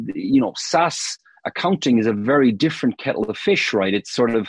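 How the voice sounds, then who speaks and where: Speaking with an Irish accent, a man has a medium pitch and ordinary pitch variation at a fairly quick pace. The sound is dry and close with no echo. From Ireland, Cork. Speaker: marketing consultant. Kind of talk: casual interview.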